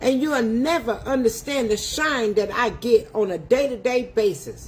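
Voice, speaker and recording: Slowish in pace, a woman speaks at a high pitch in an animated tone with lively intonation. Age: 60s. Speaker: home cook livestreamer. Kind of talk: livestream rant. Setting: livestream.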